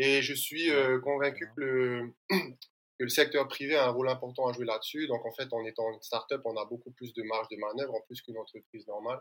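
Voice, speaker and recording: A man in a plain, everyday voice talks at a fairly quick pace and medium pitch. His intonation stays fairly even while his loudness swings widely. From French Polynesia. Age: 30s. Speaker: environmental start-up founder. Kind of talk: interview.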